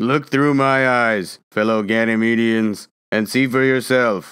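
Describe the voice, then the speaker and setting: A man speaks in a put-on character voice at a fairly slow pace and medium pitch, on a very clean recording with a silent background. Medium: read story. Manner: curt, self-assured.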